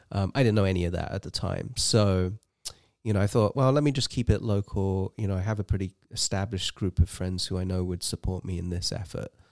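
Fairly low in pitch, a man with an English accent speaks at a very fast pace. His pitch variation is ordinary, and the sound is dry and close with no echo. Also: very clean recording, silent background. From England. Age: 40s. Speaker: amateur ultrarunner. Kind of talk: casual interview.

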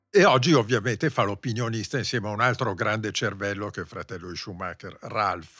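A man's bright, sharp voice runs fairly quickly with hardly any pauses, fairly low in pitch with ordinary pitch variation and big swings in loudness, on a very clean recording with a silent background. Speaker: motorsport journalist and podcast host. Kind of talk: casual chat about Formula 1.

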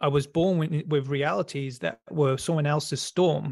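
In a very clean recording with a silent background, a man with an English accent speaks at a moderate pace, his fairly high pitch held in fairly even intonation. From rural England. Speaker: electrician and spiritual coach. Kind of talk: interview.

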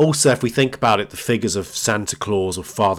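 A man's voice in a British accent, very clean recording, silent background. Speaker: podcast host. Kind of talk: solo educational talk.

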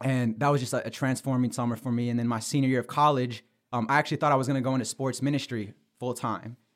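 Very fast and monotone, a man speaks at medium pitch with flat intonation in an American accent. The recording is very clean, with a silent background. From Michigan, US. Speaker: sports journalist and podcaster. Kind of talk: casual interview.

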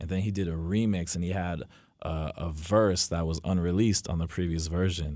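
A dark, mellow tone in an American accent, at a fairly quick pace with fairly even intonation, on a very clean recording over a silent background. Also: man. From New Jersey. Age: 20s. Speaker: record label owner. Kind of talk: casual interview.

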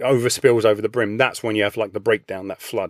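Recorded dry and close with no echo, a man speaks with an English accent. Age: 50s. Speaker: personal trainer and coach. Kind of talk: interview conversation.

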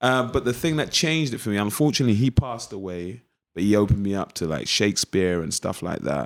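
The intonation is lively. The pace is very fast. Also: man, fairly low pitch for a man. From East London. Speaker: actor. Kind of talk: casual interview chat.

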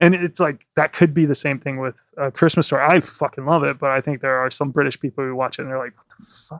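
Speech comes at a very fast pace in an American accent, with fairly even intonation but big swings in loudness. The sound is dry and close, with no echo. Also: man, fairly high pitch for a man. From US South. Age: 30s. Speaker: podcast host. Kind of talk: casual interview. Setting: in-person recording in an office.

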